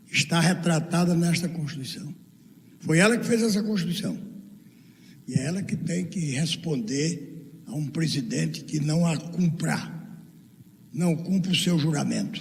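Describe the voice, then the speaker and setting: A man talks at a fairly slow pace with a high pitch and ordinary pitch variation, leaving long, frequent pauses. Audible room echo surrounds his voice. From Brazil, Northeast (Paraíba). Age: 80s+. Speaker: law professor and speaker. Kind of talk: lecture with audience Q&A. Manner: animated.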